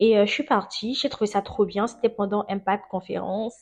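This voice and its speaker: A woman with a plain, everyday voice speaks at a moderate pace and medium pitch with fairly even intonation. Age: 20s. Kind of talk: testimony. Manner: casual, laughs often.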